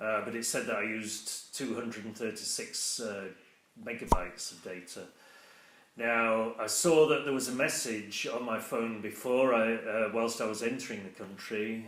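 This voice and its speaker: A man with a British accent speaks with fairly even intonation and big swings in loudness over noticeable background noise. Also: medium pitch for a man, moderate pace. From England. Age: 60s. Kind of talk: casual talk to camera. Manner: hesitant, conversational.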